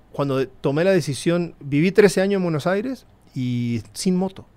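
A man's high-pitched voice with very wide pitch swings, at a moderate pace. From northern Argentina, Formosa. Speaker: motorcycle traveler and entrepreneur. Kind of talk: casual chat.

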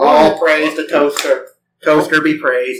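A man's put-on character voice, robotic and nasal, at a fairly high pitch and moderate pace.

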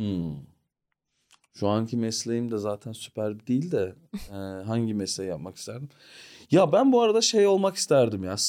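With long, frequent pauses, a man speaks at a moderate pace and medium pitch in a dark, mellow tone with very wide pitch swings, all in a very clean recording with a silent background. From Australia (Sydney, Melbourne), born in Ankara. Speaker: stand-up comedian. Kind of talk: casual chat. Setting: studio.

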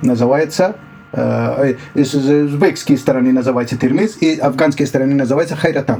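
A man with a Dari accent, fairly high in pitch and very even in loudness, over noticeable background noise. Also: ordinary pitch variation, moderate pace. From Afghanistan. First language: Dari (speaking Russian). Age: 60s. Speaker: refugee, former journalist. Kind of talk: interview testimony. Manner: halting, many hesitations.

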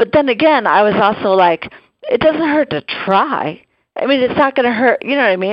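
A woman with an American accent, very wide pitch swings and a fairly quick pace. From Omaha, Nebraska. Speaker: radiologist caller. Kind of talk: casual call-in chat. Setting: phone call.

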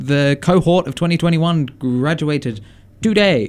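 With an Australian accent, a man is talking. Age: 20s. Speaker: radio host. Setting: radio studio. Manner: relaxed, jokey, conversational, with many fillers and laughs.

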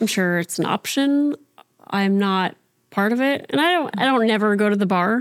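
A woman with a normal speaking voice talks at a moderate pace in an American accent. Her fairly high voice has lively intonation and very even loudness. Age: 30s. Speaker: podcast guest, show co-creator. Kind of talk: casual chat.

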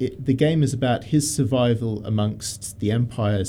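Somewhat breathy and dark, mellow in tone, a man talks at a medium pitch and moderate pace with ordinary pitch variation. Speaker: radio host. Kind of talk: casual chat.

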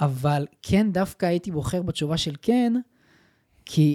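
A man's high-pitched voice with a dark, mellow tone and ordinary pitch variation, dry and close with no echo, on a very clean recording with a silent background. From Israel, Petah Tikva. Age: 20s. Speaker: digital entrepreneur. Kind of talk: casual interview. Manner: fast.

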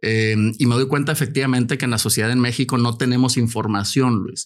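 The voice is an unremarkable speaking voice. It moves at a moderate pace. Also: man. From Mexico. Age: 50s. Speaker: cancer survivor and health advocate. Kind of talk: casual chat. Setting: studio.

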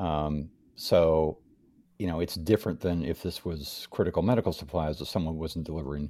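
On a very clean recording with a silent background, a man speaks at a moderate pace in a very deep, low pitch, with a dark, mellow tone and fairly even intonation. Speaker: podcast co-host. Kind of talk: casual banter podcast chat. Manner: joking, rambling, playful.

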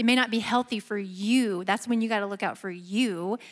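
In a very clean recording with a silent background, a woman with an ordinary speaking voice, medium pitch and fairly even intonation talks at a moderate pace with an American accent. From US Midwest. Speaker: churchgoer, married panelist. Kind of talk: panel discussion.

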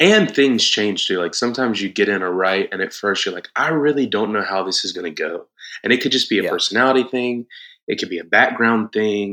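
Over a quiet background, a man with a Southern US accent talks at a fairly quick pace. His voice has a medium pitch and a bright, sharp tone. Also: ordinary pitch variation. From South Georgia, US. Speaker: worship leader and band musician. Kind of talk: casual interview chat.

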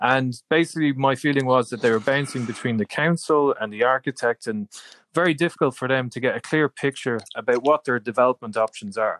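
A man's medium-pitched voice in a Dublin accent, fairly quick, with ordinary pitch variation and a dry, close sound with no echo. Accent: Irish (Dublin). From Ireland, Dublin. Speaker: tech company founder. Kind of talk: interview.

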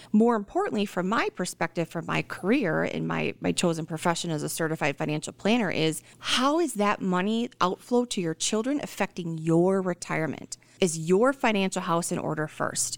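Barely pausing, a woman speaks at a moderate pace and medium pitch with lively intonation, in an ordinary speaking voice. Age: 30s. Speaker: financial planner. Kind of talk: radio interview.

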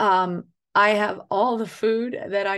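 With an American accent, a woman speaks in a normal speaking voice at a medium pitch, her intonation fairly even against a quiet background. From US Northeast, northern Catskills, New York. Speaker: author and farmer. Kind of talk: interview conversation.

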